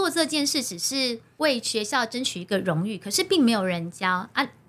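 Speaking in a Taiwanese accent, a woman with a fairly high pitch moves at a fairly slow pace through very wide pitch swings. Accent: Taiwanese Mandarin. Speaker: primary school teacher and recitation coach. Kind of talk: casual interview chat. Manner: steady, even delivery.

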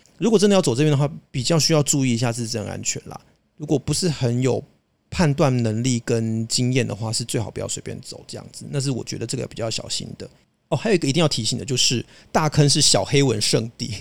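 Talking at a very fast pace, a man shows big swings in loudness and ordinary pitch variation. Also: medium pitch for a man. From Taiwan, Hakka background. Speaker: podcast co-host. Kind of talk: casual chat.

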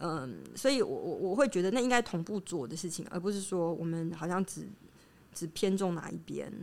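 This woman's voice sits fairly low and carries vocal fry. Her intonation is lively. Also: moderate pace. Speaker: academic researcher in anthropology and psychoanalysis. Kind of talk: interview conversation. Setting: on location in her research institute.

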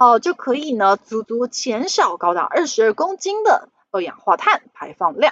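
Speaking at a moderate pace with a Taiwanese accent, a woman uses a high pitch and very wide pitch swings. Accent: Taiwanese Mandarin. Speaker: finance podcast host. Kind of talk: solo investment commentary.

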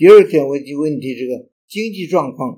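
Dark and mellow in tone, a man's fairly high voice moves at a moderate pace. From Henan, northern China. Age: 80s+. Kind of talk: interview reminiscence. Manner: halting, many fillers.

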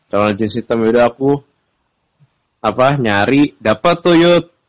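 The speaker is a man with a fairly slow delivery. Ordinary pitch variation marks his speech. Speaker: podcast co-host. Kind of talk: casual chat.

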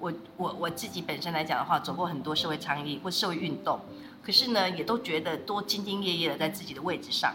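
The speech comes at a very fast pace. Noticeable background noise and audible room echo fill the recording. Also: woman, fairly low pitch for a woman, ordinary pitch variation. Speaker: social welfare official. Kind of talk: interview conversation.

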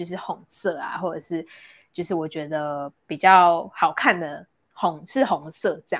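A woman with a fairly low pitch speaks at a fairly slow pace, her loudness swinging widely, in a very clean recording with a silent background. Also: ordinary pitch variation. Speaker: podcast co-host. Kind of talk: casual chat. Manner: animated.

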